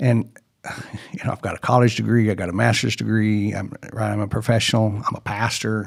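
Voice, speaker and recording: Fairly quick and fairly even in intonation, a man speaks at a fairly low pitch in a plain, everyday voice. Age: 60s. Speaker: CEO of a family services nonprofit and pastor. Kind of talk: casual interview conversation.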